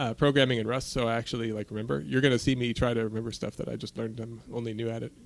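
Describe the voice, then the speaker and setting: A man mumbles at a very fast pace with hardly any pauses. His pitch is medium, with ordinary variation. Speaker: programmer. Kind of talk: coding screencast. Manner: mumbling; hesitant.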